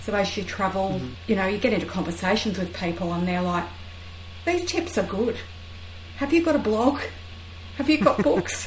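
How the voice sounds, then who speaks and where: A woman with an Australian accent, long and frequent pauses, audible room echo and noticeable background noise. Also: moderate pace. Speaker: travel writer. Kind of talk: casual interview chat.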